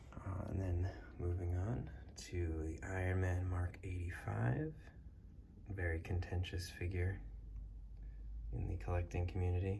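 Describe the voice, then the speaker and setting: A soft-spoken man with a very deep, low pitch and ordinary pitch variation, at a fairly slow pace with long, frequent pauses, over noticeable background noise. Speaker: action figure collector. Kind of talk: casual talk to camera, collection tour.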